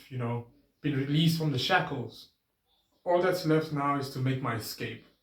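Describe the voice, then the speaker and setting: A man's somewhat breathy mumbling with audible room echo. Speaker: vlogger. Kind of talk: casual vlog monologue. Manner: pitch goes up and down.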